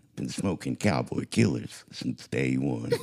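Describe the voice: A man puts on a character voice with a very deep, low pitch. He talks at a fairly slow pace.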